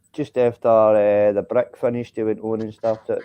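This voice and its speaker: Someone in a Scottish accent talks at a fairly quick pace. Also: man. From Scotland. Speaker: live stream viewer joining the chat. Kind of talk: casual chat.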